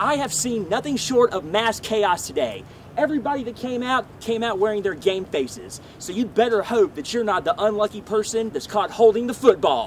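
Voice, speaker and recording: Over noticeable background noise, a man with a high pitch talks at a moderate pace with hardly any pauses and ordinary pitch variation. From Mississippi, USA. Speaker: television news reporter. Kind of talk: TV news reporter package narration.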